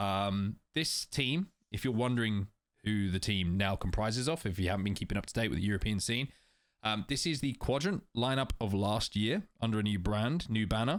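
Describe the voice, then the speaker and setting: Fairly low-pitched man with an English accent and ordinary pitch variation, on a very clean recording with a silent background. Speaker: esports podcast host. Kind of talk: casual discussion.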